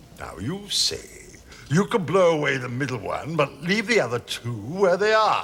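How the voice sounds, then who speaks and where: A man's put-on character voice at a high pitch and moderate pace, with clear background noise. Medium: short film. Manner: excitable, blustering.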